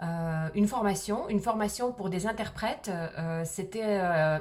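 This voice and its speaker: Noticeable background noise sits behind a woman speaking at a fairly slow pace with a slight Swiss accent. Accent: very slight accent in French, hint of Swiss. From Soviet Union (Moscow). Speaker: video blogger. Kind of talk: personal storytelling vlog. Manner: hesitant, many fillers.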